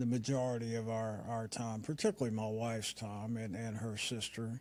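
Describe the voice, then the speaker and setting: A man with an Appalachian accent speaks at a moderate pace. His pitch is medium, and his tone is dark and mellow. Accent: Appalachian American. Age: 60s. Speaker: retired businessman. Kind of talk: interview. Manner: hesitant, many fillers.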